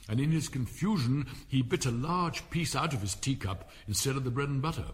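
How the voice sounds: A natural reading voice is heard throughout.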